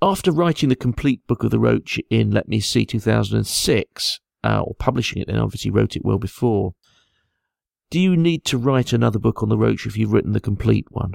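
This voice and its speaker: Recorded very cleanly against a silent background, a man speaks with an English accent. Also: dry, close sound with no echo. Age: 50s. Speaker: angler and fish scientist. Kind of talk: interview.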